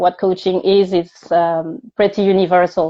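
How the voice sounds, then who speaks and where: Her voice sits at a medium pitch as this woman talks at a moderate pace with fairly even intonation. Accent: French. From France. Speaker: coach for multilingual job seekers. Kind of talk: casual interview chat. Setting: live stream video call.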